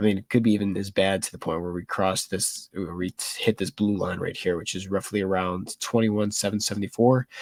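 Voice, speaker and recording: A man speaks fairly quickly in a fairly low, flat monotone. The sound is dry and close, with no echo. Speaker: market show co-host. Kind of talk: market analysis chat.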